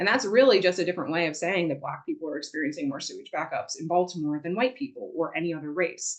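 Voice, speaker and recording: A woman with a fairly low pitch talks at a very fast pace with lively intonation. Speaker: environmental advocate. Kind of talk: presentation.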